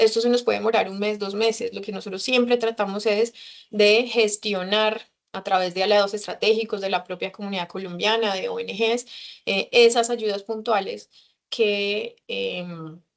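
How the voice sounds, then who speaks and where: A woman holds a medium pitch in a monotone, flat delivery. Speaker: consular official. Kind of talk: lecture. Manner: fast.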